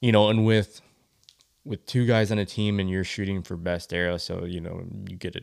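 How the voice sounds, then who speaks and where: At a fairly quick pace, a man with an Upper Midwest accent speaks in a very deep, low pitch with fairly even intonation. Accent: Upper Midwest American. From Michigan. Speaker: archery event organizer. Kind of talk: podcast interview. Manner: halting, many fillers.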